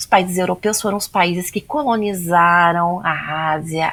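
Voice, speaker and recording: A woman speaks in a normal speaking voice. Her pace is fairly slow. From Brazil. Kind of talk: podcast interview.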